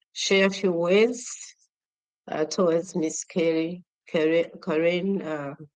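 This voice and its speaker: Fairly even in intonation, a woman speaks at a fairly low pitch. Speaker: nonprofit chapter chairperson. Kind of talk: award nomination speech. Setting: virtual event. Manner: halting, many fillers.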